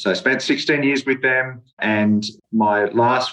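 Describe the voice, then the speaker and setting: A man with an Australian accent speaks in a monotone, flat intonation. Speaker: property developer. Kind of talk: radio interview.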